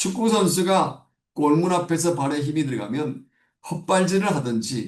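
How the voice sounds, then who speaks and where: Amid audible room echo, a man speaks with lively intonation at a fairly slow pace. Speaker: pastor. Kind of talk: sermon.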